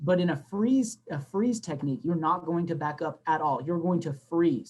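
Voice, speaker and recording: A man's high-pitched voice with ordinary rise and fall in pitch. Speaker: flag football coach. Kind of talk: coaching talk to online audience. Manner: fast; animated.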